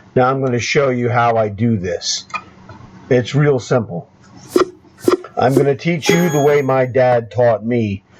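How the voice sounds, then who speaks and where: Amid noticeable background noise, a man at medium pitch speaks at a fairly slow pace with long, frequent pauses and ordinary pitch variation. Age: 60s. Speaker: chess coach. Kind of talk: tutorial. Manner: animated.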